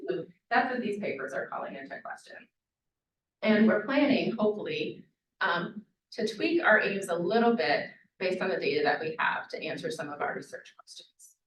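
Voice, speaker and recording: A woman speaking at a fairly quick pace, with big swings in loudness and audible room echo. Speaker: public health professor. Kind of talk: lecture. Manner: fast.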